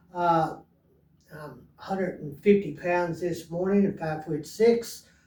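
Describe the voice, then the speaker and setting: A man at a high pitch, fairly slow, fairly even intonation, big swings in loudness, with audible room echo. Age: 70s. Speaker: fitness vlogger. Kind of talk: casual monologue. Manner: halting, many fillers.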